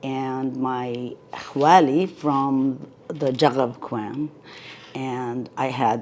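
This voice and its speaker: Very deep, low pitch from a woman, with fairly even intonation. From Palestine (Ramallah), moved to the US at age ten. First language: Arabic. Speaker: oral history interviewee. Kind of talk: oral history interview.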